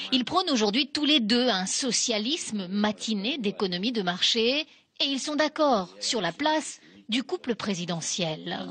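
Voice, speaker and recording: The pitch swings very widely at a fairly slow pace. Noticeable background noise runs underneath. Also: woman, fairly high pitch for a woman. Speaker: TV reporter. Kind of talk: TV news report narration.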